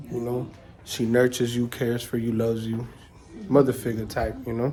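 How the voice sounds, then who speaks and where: The pace is fairly quick. Noticeable background noise is present. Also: man, medium pitch for a man. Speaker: vlogger explaining his religion. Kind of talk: casual home video monologue. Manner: casual, filler-heavy.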